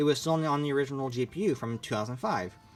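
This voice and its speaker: Music plays in the background. Over it, a man talks at a fairly high pitch. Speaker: YouTuber and console collector. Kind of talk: casual show-and-tell monologue.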